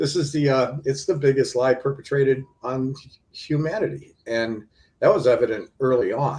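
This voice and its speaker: The man's pitch is fairly high, with fairly even intonation. His voice is somewhat breathy. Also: moderate pace. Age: 60s. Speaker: filmmaker and UFO researcher. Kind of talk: interview. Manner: hesitant, many fillers.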